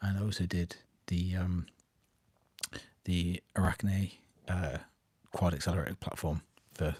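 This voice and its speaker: A man with a British accent speaks quietly at a very deep, low pitch, somewhat breathy, with long, frequent pauses. The sound is dry and close, with no echo. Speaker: miniature painting youtuber. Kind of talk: live stream update.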